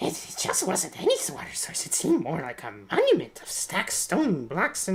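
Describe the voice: Moderate pace and middle pitch in a put-on character voice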